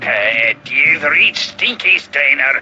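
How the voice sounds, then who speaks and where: Putting on a character voice, a man speaks at a fairly slow pace. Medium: video game.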